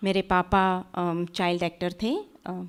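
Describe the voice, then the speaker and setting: A woman speaks with a Gujarati accent. The recording is very clean, with a silent background. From India, Sangli, Maharashtra. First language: Gujarati (speaking Hindi). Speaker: author. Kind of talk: interview on stage.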